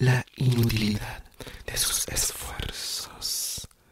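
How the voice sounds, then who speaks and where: Whispering, a man speaks at a very slow pace. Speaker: poetry reader. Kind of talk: poetry reading. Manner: soft-spoken close-mic ASMR reading. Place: home room. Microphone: studio mic.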